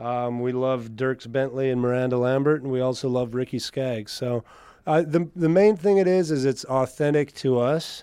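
A man talks with an unremarkable speaking voice at a medium pitch. His pace is moderate and his pitch variation ordinary. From Canada, northern Alberta (Mennonite community near La Crete). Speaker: country singer. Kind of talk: interview.

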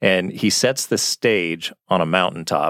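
A man speaks with a normal speaking voice, fairly low in pitch, with ordinary pitch variation. The recording is very clean, silent in the background, with a dry, close sound and no echo. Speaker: podcast co-host. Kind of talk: casual conversational Bible discussion.

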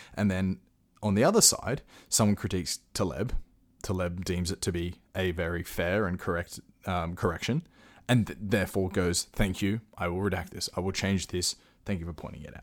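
A man with a very deep, low pitch and an Australian accent speaks at a moderate pace with fairly even intonation. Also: very clean recording, silent background. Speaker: podcast host. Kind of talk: solo commentary. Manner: casual.

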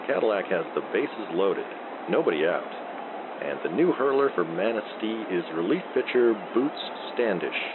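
A man speaks in a gentle, relaxed tone with very wide pitch swings. Long, frequent pauses break up his speech over noticeable background noise. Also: medium pitch for a man. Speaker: sleep podcast baseball announcer. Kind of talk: slow, soothing fictional play-by-play baseball commentary meant for falling asleep. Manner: gentle dry humor, lazy relaxed delivery.

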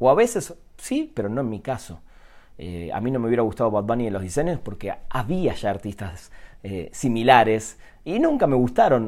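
A man speaks at a medium pitch and a fairly quick pace. The recording is very clean, with a silent background. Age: 40s. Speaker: podcaster. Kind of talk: solo monologue. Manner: halting, many repetitions and fillers.

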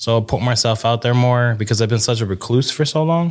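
At a fairly quick pace, a man with an unremarkable speaking voice talks at medium pitch with ordinary pitch variation in a very clean, silent recording. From New York State (Hudson Valley). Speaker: tattoo artist. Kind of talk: casual chat.

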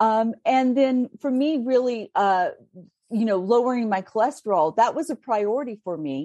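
Dry and close with no echo, a woman's dark, mellow tone moves at a moderate pace. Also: fairly high pitch for a woman, lively intonation. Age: 50s. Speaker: food blogger and cookbook author. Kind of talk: casual interview.

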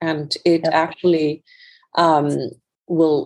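A woman with an Icelandic accent, her very deep, low pitch delivered in a monotone, flat intonation. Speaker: fashion entrepreneur. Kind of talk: interview. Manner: halting, with repeated words.

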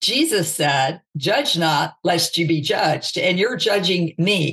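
In a plain, everyday voice, a woman with an American accent talks at a fairly slow pace in a fairly low pitch with ordinary pitch variation. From US South, Mississippi. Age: 50s. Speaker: author and speaker. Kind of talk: interview.

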